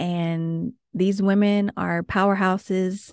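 Over a quiet background, a woman speaks in a fairly low pitch with fairly even intonation. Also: dry, close sound with no echo. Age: 30s. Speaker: podcast host. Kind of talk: motivational monologue.

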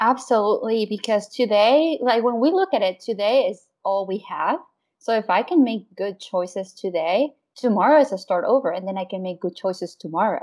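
At a moderate pace, a woman with a Spanish accent speaks with lively intonation. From Mexico (Querétaro). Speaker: wellness consultant and mom. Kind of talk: interview conversation.

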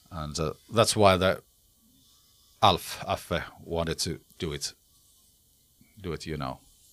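Speaking very slowly in a Finnish accent, a man with a very deep, low pitch and ordinary pitch variation takes long, frequent pauses while his loudness swings widely. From Finland. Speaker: rock singer. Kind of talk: interview. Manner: halting.

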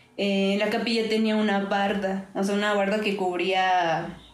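Over noticeable background noise and audible room echo, a woman speaks at a fairly slow pace in a medium pitch with monotone, flat intonation. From Mexico, Orizaba, Veracruz. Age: 20s. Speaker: visual artist. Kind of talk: casual chat.

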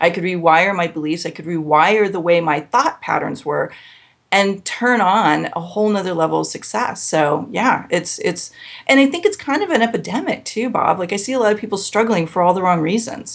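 Speaking at a moderate pace, a woman has a normal speaking voice, a medium pitch and lively intonation. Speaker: business coach and speaker. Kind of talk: interview conversation.

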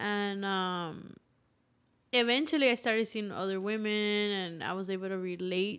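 A woman with an American accent speaks in a normal speaking voice at medium pitch, with ordinary pitch variation and a moderate pace, on a very clean recording with a silent background. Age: 20s. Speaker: singer-songwriter and musician. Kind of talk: casual interview chat.

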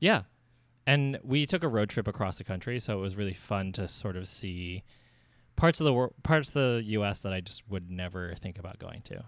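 In a very clean recording with a silent background, a man speaks in a normal speaking voice, fairly low in pitch, at a moderate pace, his intonation lively and his loudness swinging widely. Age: 30s. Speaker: podcast co-host and designer. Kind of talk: casual chat.

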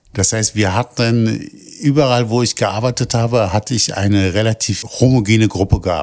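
At a moderate pace, a man speaks with a normal speaking voice and a fairly low pitch. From Berlin (Kreuzberg). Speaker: project staff doing outreach. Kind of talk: interview.

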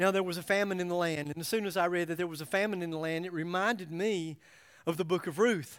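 Speaking very fast in an American accent, an animated man with a high pitch is heard on a very clean recording with a silent background. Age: 60s. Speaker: pastor. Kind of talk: sermon.

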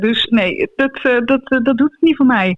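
A woman speaks at a fairly slow pace with a high pitch and lively intonation. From Netherlands, Brabant. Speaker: author. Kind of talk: casual chat. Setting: phone call.

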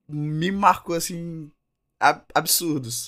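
The recording is very clean, its background silent. On it, a man talks very slowly. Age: 20s. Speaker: film podcast co-host. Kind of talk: casual chat.

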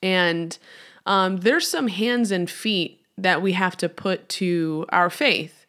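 A woman's medium-pitched voice with an American accent, very slow pace, bright and sharp tone, ordinary pitch variation, and a very clean recording over a silent background. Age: 30s. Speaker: podcast host, church worker. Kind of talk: faith-based teaching podcast. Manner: casual, hesitant with fillers.

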